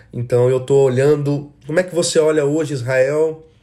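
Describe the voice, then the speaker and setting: In a Brazilian accent, a man speaks at a moderate pace, somewhat breathy, with a dark, mellow tone. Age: 30s. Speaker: worship leader. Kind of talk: solo podcast monologue. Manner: casual.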